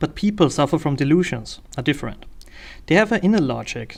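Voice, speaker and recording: In a very clean recording with a silent background, a man with a German accent talks fairly quickly in a fairly high voice with lively intonation and vocal fry. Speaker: political commentator. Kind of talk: video essay monologue. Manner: hesitant with frequent fillers.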